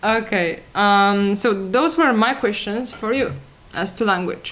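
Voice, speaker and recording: A woman with a strong Polish accent speaks at a fairly high pitch and a fairly slow pace. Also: ordinary pitch variation. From Poland. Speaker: talk show co-host. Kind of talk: casual chat. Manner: halting, many fillers.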